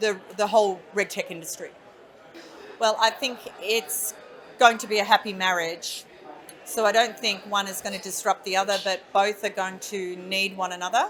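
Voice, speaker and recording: A woman with an Australian accent, medium pitch and fairly even intonation, at a moderate pace with big swings in loudness. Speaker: industry association chief executive. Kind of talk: interview. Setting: conference event.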